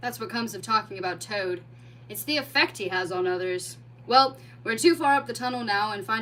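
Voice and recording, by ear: A natural voice reading aloud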